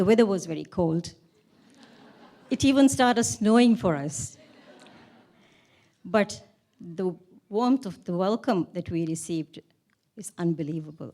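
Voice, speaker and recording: With long, frequent pauses and a fairly slow pace, a woman's medium-pitched voice makes very wide pitch swings in a dark, mellow tone. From Maldives. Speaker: award honoree. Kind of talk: acceptance speech. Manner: halting.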